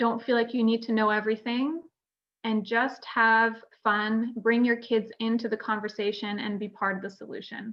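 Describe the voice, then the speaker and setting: A woman speaks at a moderate pace with a Canadian accent. Her fairly high voice stays monotone and flat. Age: 30s. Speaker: retinoblastoma survivor, panel speaker. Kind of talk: conference panel talk. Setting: virtual conference video call.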